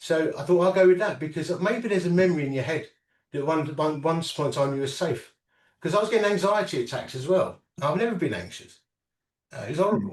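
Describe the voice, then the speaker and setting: Speaking very fast with an English accent, a man uses a high pitch and ordinary pitch variation. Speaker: inventor and entrepreneur with Parkinson's. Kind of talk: interview. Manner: halting.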